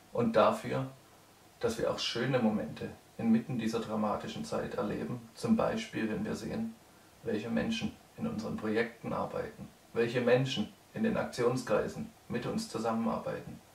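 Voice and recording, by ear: A man speaks at a moderate pace and a medium pitch, with vocal fry. His pitch moves little, and the room echo is audible.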